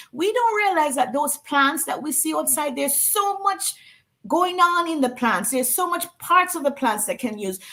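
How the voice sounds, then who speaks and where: A woman's high, raised and projected voice with very wide pitch swings. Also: moderate pace. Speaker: wellness product representative. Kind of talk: interview.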